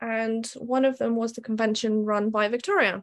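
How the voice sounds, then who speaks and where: A woman speaks with a British accent at a moderate pace, her pitch fairly high. Her intonation stays fairly even against a quiet background. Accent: British-sounding, evident. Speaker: tattoo artist. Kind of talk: casual interview, personal story.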